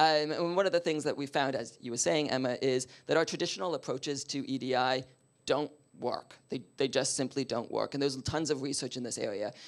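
In an ordinary speaking voice, a man talks at a fairly quick pace over a quiet background. His pitch is fairly high, with ordinary pitch variation. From Canada. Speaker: diversity and inclusion consultant; speaker. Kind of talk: panel discussion. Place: meeting room.

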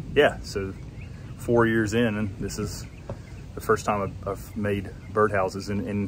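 The speech moves at a fairly slow pace with fairly even intonation. The sound is dry with no echo, and there is noticeable background noise. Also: man. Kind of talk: casual vlog chat. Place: workshop. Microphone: phone near.

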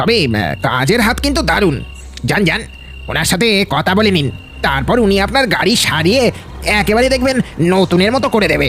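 A cartoonish character voice at a middle pitch moves at a moderate pace over clear background noise. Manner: stammering, ingratiating.

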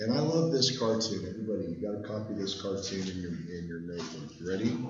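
Through audible room echo and noticeable background noise, a man talks at a very fast pace in a fairly low voice with lively intonation. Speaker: history teacher. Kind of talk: lecture. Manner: casual, conversational.

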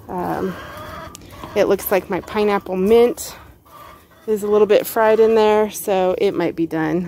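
Light background noise sits behind a woman speaking at a fairly slow pace. Her intonation is fairly even, and the sound is dry with no echo. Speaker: home gardener vlogger. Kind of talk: casual vlog chat. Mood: relaxed, a bit weary. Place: garden. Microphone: phone near.

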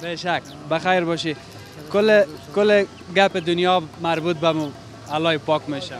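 High-pitched male speech at a moderate pace with long, frequent pauses, a dry sound with no echo and faint music in the background. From Parwan, Afghanistan. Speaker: street reporter. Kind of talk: street interview questions. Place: market. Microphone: handheld.

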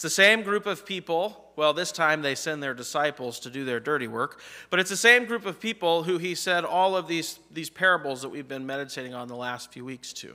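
Over a quiet background, a man with a bright, sharp tone talks fairly quickly with hardly any pauses and big swings in loudness. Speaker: pastor. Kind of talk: sermon. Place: church.

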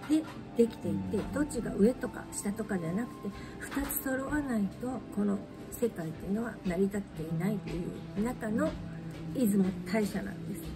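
A soft-spoken woman talks at a moderate pace with lively intonation. Music plays in the background. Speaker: shrine guide. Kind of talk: casual explanatory talk. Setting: cafe with background music. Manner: quiet, soft-spoken. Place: cafe. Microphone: phone near.

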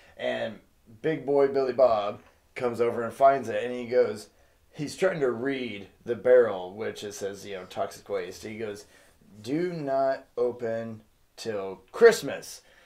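Against a quiet background, the speaker moves at a fairly slow pace with big swings in loudness. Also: man, ordinary pitch variation. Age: 30s. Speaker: movie review co-host. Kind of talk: casual chat. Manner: animated.

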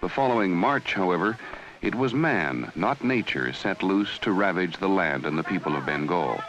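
Very deep and low, this man's voice swings very widely in pitch while its loudness stays very even. He keeps a moderate pace against noticeable background noise. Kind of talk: 1970s TV documentary narration, solemn and measured network news delivery. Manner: grave, formal, measured.

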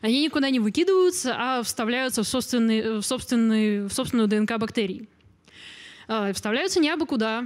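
With a quiet background, a woman talks in an ordinary speaking voice at a fairly quick pace, her pitch fairly high with ordinary variation. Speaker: biology lecturer, genetics graduate student; biology lecturer. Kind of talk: popular science lecture. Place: hall. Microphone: handheld.

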